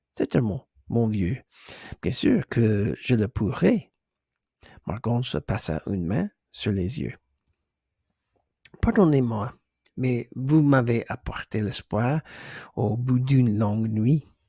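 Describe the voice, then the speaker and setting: Speaking at a very slow pace with long, frequent pauses, a man uses a medium pitch, ordinary pitch variation and a somewhat breathy voice, in a dry, close sound with no echo. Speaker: ASMR creator. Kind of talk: ASMR book reading. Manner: hesitant, stumbling, soft.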